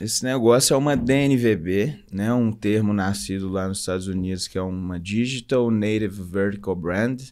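A man's fairly low voice at a fairly slow pace, with ordinary pitch variation, over a quiet background. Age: 30s. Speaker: entrepreneur, clothing brand co-founder; podcast guest. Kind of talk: casual interview. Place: studio. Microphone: studio mic.

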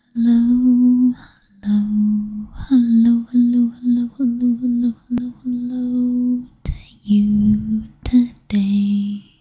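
Whispering at a very slow pace, a woman is soft-spoken throughout. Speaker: ASMR creator. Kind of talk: ASMR product review, quiet talk to camera. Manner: soft-spoken, whispery. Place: home room.

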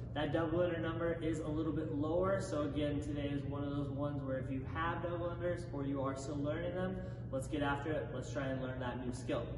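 With hardly any pauses, a man talks at a very fast pace amid noticeable background noise and audible room echo. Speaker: fitness coach. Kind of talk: workout explanation to camera. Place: gym. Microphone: camera far.

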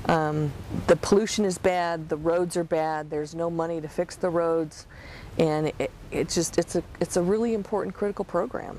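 A woman with a fairly low pitch speaks at a moderate pace with ordinary pitch variation. The sound is dry with no echo, and light background noise is present. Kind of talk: interview answer. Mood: enthusiastic, passionate. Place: car.

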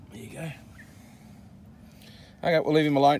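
A man speaks with a fairly high pitch and ordinary pitch variation. His tone is slightly mellow. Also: moderate pace.

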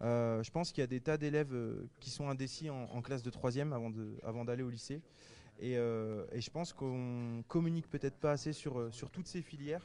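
A man's voice, dark and mellow in tone, moves through ordinary pitch variation against a quiet background. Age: 30s. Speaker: TV cooking contest winner, chef. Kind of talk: interview.

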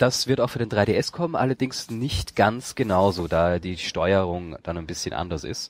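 With an unremarkable speaking voice, a man talks at a moderate pace and fairly low pitch, using lively intonation and hardly any pauses, in a very clean recording with a silent background. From Austria. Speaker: gaming podcaster, event reporter. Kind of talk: casual chat.

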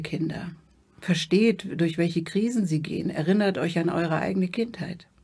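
A woman speaks at a fairly low pitch and a moderate pace with ordinary pitch variation, against a quiet background. It is a normal speaking voice. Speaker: interview guest. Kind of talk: interview answer. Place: studio. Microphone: studio mic.

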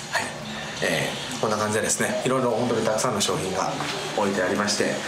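Loud background noise sits under speech delivered at a very fast pace. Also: man. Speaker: voice actor. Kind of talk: TV reporter segment. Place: shop. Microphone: phone near.

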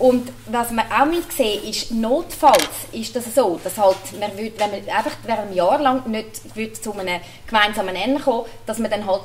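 A woman in a Zurich accent with a fairly high pitch, ordinary pitch variation, moderate pace and light background noise. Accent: Swiss German (Zurich). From Switzerland, Zurich region. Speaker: cantonal politician. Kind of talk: panel debate. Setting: stage with audience. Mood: earnest, persuasive. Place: hall. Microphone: handheld.

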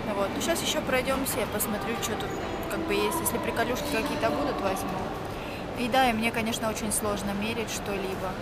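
Over loud background noise, a woman talks at a fairly quick pace with ordinary pitch variation, in a dry sound with no echo. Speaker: vlogger. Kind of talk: casual vlog chat. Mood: relaxed, chatty. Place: shop. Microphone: phone near.

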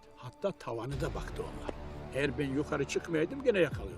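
Music plays in the background. A man talks very fast over it. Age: 80s+. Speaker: imam. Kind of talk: documentary interview answer.

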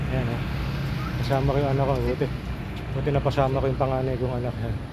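The sound is dry with no echo as a man talks at a moderate pace beneath loud background noise. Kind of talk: casual vlog chat. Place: street. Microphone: phone near.

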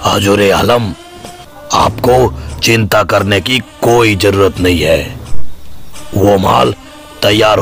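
Over faint music in the background, a put-on character voice takes a menacing tone at a fairly slow pace. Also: man. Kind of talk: acted phone call dialogue. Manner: menacing, zealous.

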